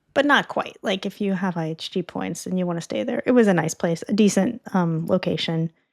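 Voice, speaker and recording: A woman with an American accent talks fairly quickly, with hardly any pauses, in an unremarkable speaking voice. Her medium pitch carries lively intonation, and the sound is dry and close with no echo. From United States. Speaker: travel points expert. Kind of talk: casual chat. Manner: casual, many fillers.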